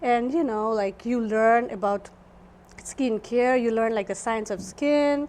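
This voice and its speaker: A woman speaks with a Nepali accent at a fairly high pitch. Her pace is fairly slow, and her pitch varies in an ordinary way. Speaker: esthetician. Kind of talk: interview.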